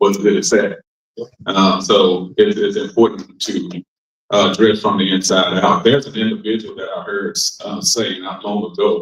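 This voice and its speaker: A man speaks at a moderate pace. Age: 50s. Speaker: minister and panelist. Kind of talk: panel discussion. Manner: hesitant, many fillers.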